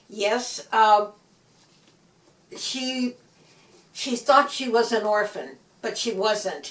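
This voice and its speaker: A woman with a Midwestern US accent speaks very slowly at a fairly high pitch, with ordinary pitch variation and long, frequent pauses. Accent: US Midwest. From US Midwest, Gary, Indiana. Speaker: author. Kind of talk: interview. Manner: halting.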